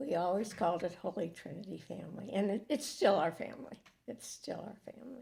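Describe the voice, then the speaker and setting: Talking at a fairly quick pace, a woman uses lively intonation in a medium-pitched, somewhat breathy voice with a dark, mellow tone. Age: old. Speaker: church member. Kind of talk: casual chat. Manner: halting.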